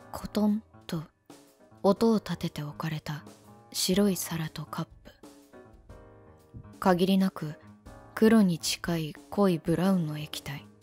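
Speech comes at a very slow pace with long, frequent pauses. Music plays in the background. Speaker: virtual YouTuber. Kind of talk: first-person narration.

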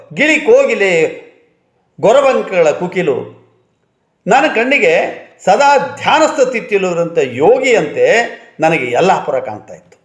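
A man speaks at an extremely high pitch with very wide pitch swings and big shifts in loudness, with audible room echo. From north Karnataka plains. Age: 70s. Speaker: retired college principal. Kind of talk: reminiscence monologue. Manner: formal.

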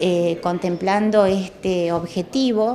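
Amid light background noise, a woman talks at a very slow pace with ordinary pitch variation. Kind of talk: interview answer. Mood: calm, informative. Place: office.

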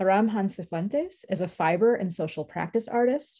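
A somewhat breathy woman speaks at a moderate pace with ordinary pitch variation. The background is quiet. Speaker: event host. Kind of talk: introducing speakers. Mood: warm, smiling. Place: home room. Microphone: webcam.

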